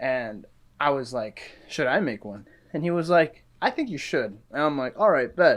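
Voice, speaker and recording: The voice is a normal speaking voice. It rises and falls with lively intonation. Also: man. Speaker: podcast guest, film student. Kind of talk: casual chat.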